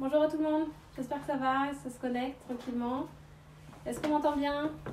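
A woman's dark, mellow voice at a fairly quick pace, with audible room echo and light background noise. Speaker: fitness coach. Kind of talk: live stream greeting and workout intro. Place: waterside. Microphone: camera far.

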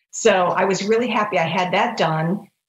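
A woman's medium-pitched voice at a fairly slow pace, with ordinary pitch variation and audible room echo. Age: 50s. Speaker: rheumatoid arthritis patient. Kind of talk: interview. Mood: warm, reflective. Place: home room. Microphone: video call.

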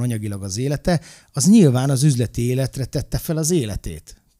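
Against a quiet background, a man's dark, mellow voice sits at medium pitch and carries lively intonation. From Hungary. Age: 40s. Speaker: former wrestler and coach; coach. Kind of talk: casual chat. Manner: animated. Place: studio. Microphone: studio mic.

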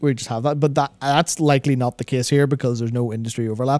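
A man at a fairly quick pace with fairly even intonation, faint music in the background, and a dry sound with no echo. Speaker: podcast co-host. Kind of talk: podcast discussion. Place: studio. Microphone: studio mic.

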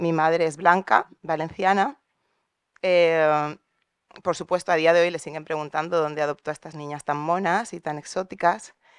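A woman with fairly low pitch talks at a moderate pace with big swings in loudness, in a dry sound with no echo and a quiet background. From Valencia, Spain; Spain. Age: 40s. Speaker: audience member. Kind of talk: audience question. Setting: auditorium with audience. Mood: personal, reflective. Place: hall. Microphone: handheld.

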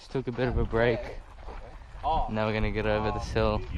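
The sound is dry with no echo, though noticeable background noise runs underneath. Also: man. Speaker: vlogger explorer. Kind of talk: casual vlog chat. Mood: excited. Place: forest. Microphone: phone near.

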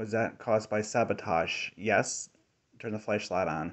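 A man talks at a fairly slow pace with fairly even intonation against a quiet background. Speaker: ghost hunter. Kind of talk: hesitant questions to spirits. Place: tunnel cave.

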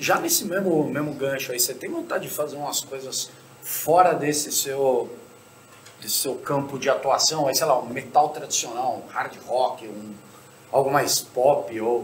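Light background noise and audible room echo accompany a man's voice. He has a fairly high pitch with ordinary pitch variation. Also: fairly slow pace. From Brazil. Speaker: podcast host. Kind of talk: casual chat. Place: stage.

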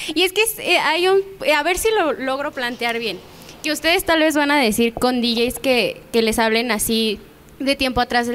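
A woman speaks in a Mexican accent with a high pitch. Her intonation is lively and her pace moderate. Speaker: show co-host; show host. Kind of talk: casual interview. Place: studio. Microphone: handheld.

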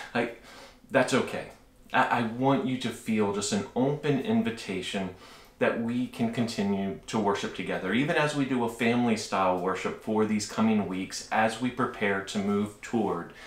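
Audible room echo carries a man's voice with ordinary pitch variation. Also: moderate pace. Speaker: preacher. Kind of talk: sermon announcements to congregation. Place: home room.

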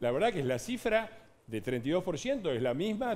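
A man talks with very wide swings in pitch. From Argentina. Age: 60s. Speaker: politician. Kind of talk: heated debate. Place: studio.

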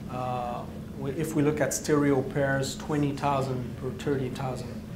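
A man speaks at a fairly slow pace and a medium pitch. Audible room echo surrounds his voice.

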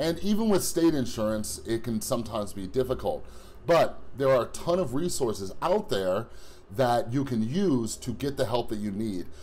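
A man speaks at a moderate pace. His pitch swings very widely. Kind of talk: casual vlog chat. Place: home room. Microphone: phone near.

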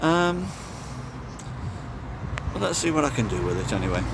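Noticeable background noise sits behind a man whose dry voice has no echo and ordinary pitch variation. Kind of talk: casual vlog chat. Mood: reflective, slightly wistful. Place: street. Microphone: phone near.

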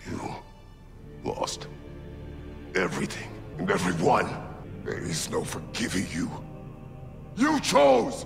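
A man's put-on character voice at a fairly slow pace, with long, frequent pauses and clear music in the background. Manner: menacing, cold; scary, intense.

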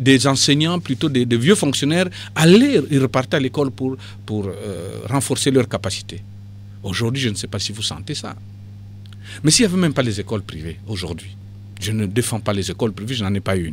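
A man with a fairly low pitch speaks at a fairly quick pace with lively intonation. He leaves long, frequent pauses. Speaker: party politician. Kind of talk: radio interview.

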